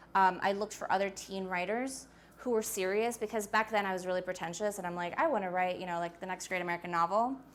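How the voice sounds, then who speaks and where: Talking at a very fast pace, a woman with a New York accent uses a medium pitch and ordinary pitch variation. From US Northeast, Queens, New York. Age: 20s. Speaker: author. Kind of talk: talk to a school audience. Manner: casual, animated.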